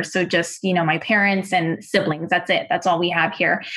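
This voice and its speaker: A woman speaks with a bright, sharp tone. Her intonation is fairly even. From Wichita, Kansas. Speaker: daughter of guest family. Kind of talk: interview.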